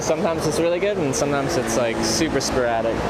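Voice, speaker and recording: A man talking at a very fast pace with lively intonation, amid noticeable background noise and audible room echo. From Canada. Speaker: travel vlogger. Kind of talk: casual chat.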